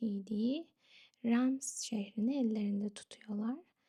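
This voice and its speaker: Soft-spoken and calm, a woman talks at a fairly slow pace in a dark, mellow tone. Her pitch sits fairly high and shows ordinary variation. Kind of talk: ASMR history storytelling narration. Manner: soft-spoken, calm.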